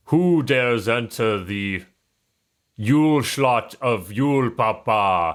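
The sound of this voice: Putting on a booming, loud character voice, a man speaks very slowly at a medium pitch with lively intonation.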